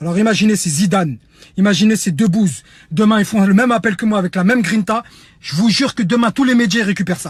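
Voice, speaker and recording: A loud, animated man's voice, high-pitched for a man, at a very fast pace with ordinary pitch variation. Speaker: humanitarian activist. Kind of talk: online video appeal.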